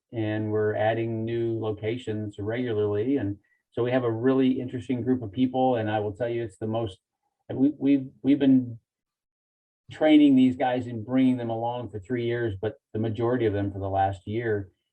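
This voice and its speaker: Speaking at a moderate pace, a man of medium pitch has an ordinary speaking voice and fairly even intonation. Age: 60s. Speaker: dry ice cleaning business owner. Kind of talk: podcast interview.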